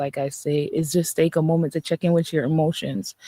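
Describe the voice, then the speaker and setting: In a dry, close sound with no echo, a woman with a Jamaican accent speaks at a moderate pace in a dark, mellow tone. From Jamaica, Saint Catherine. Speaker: holistic coach. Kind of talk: live-stream motivational talk. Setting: social media live stream. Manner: animated.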